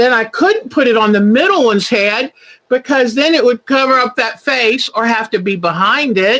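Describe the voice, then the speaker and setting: This woman's voice is high-pitched with a bright, sharp tone. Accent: American. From Virginia, US South. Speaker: quilting channel host. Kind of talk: livestream craft show chat. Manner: chatty, warm and animated.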